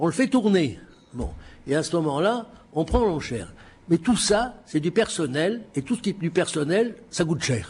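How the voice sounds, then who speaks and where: At a moderate pace, a man speaks in a fairly high voice with vocal fry. His pitch swings very widely. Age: 70s. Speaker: auctioneer. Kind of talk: lecture. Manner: halting.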